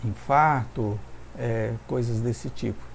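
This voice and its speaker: Audible room echo is present. A man talks through it. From Brazil, São Paulo. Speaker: pastor. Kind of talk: sermon. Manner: halting.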